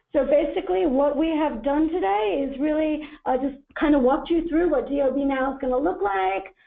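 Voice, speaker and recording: A woman speaks in a high voice at a fairly quick pace, with lively intonation. She barely pauses, and audible room echo is present. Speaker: government agency presenter. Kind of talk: webinar presentation. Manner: fast.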